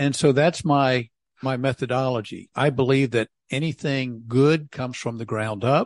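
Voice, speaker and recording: A man with an American accent has an ordinary speaking voice at medium pitch, with fairly even intonation and a moderate pace. The sound is dry and close with no echo, against a quiet background. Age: 60s. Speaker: city council member. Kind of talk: casual interview.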